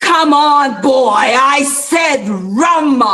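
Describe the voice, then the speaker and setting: A high-pitched voice. It is a put-on character voice. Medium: stage play.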